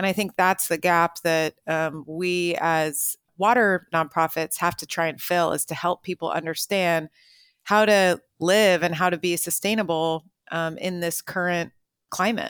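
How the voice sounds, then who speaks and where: A woman with a plain, everyday voice, fairly low in pitch, with fairly even intonation, on a very clean recording with a silent background and a dry, close sound with no echo. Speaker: water policy executive. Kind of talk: interview answers, explanatory.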